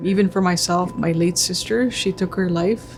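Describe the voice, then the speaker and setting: A quiet woman's voice at medium pitch moves at a moderate pace over noticeable background noise. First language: Cree. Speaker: First Nations chief. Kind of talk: interview testimony.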